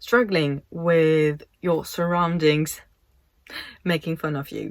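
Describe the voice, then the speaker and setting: This is a woman speaking with a French accent. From France. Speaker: YouTuber and model. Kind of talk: casual vlog monologue. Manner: hesitant, conversational.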